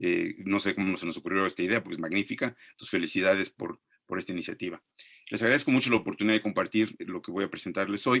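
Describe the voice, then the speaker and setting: In a Mexican accent, a man speaks at a fairly low pitch with fairly even intonation, the sound dry and close with no echo. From Mexico. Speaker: archaeologist and professor. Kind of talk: webinar lecture. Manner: very fast.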